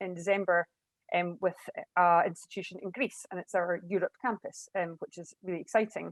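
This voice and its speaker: Here a woman speaks at a fairly quick pace with fairly even intonation. The sound is dry and close with no echo. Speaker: university international partnerships lead. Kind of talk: panel discussion. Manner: fast.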